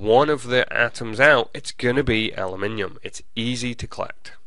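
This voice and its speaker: A man's medium-pitched voice in an English accent with a bright, sharp tone, at a fairly slow pace, with audible room echo. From England. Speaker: college professor. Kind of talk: lecture.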